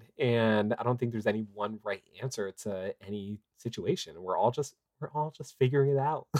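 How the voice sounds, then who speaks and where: A man talks at a moderate pace with a medium pitch and ordinary pitch variation. He has an American accent, and the sound is dry and close with no echo. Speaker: father and activist. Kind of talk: casual interview. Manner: halting, many fillers.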